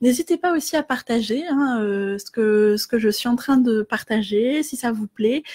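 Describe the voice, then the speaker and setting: Hardly pausing, a woman speaks at a fairly slow pace and a high pitch, her tone dark and mellow, with ordinary pitch variation. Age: 30s. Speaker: life coach. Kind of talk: facebook live talk. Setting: live video stream. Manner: hesitant, many filler words.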